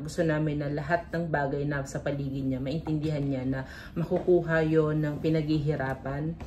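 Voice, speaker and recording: In a room with audible echo, a woman speaks at a very deep, low pitch with monotone, flat intonation. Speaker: vlogger and business owner. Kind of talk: vlog talk to camera. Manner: talkative.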